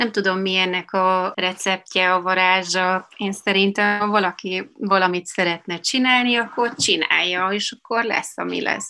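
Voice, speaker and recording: A woman's bright, sharp voice comes through on a very clean recording with a silent background. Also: medium pitch for a woman, fairly even intonation, fairly slow pace, hardly any pauses. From Bratislava, Slovakia, then Munich from age 7. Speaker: music manager. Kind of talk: interview.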